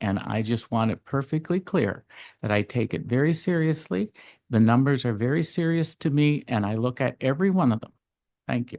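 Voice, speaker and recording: A man with a medium pitch talks at a moderate pace in a plain, everyday voice with lively intonation, recorded dry and close with no echo against a quiet background. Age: 60s. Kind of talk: council meeting debate.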